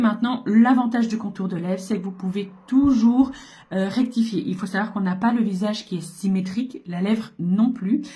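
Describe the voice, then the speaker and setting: Her voice is fairly high, dark and mellow, and somewhat breathy. The woman speaks at a fairly slow pace with ordinary pitch variation. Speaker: makeup seller and beauty vlogger. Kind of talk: makeup tutorial. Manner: casual, hesitant with fillers.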